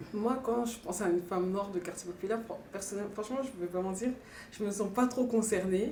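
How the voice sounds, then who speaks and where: A woman's medium-pitched voice is dark, mellow and somewhat breathy. Her intonation is fairly even, with audible room echo. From northeastern France. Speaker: documentary interviewee. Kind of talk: interview testimony. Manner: hesitant.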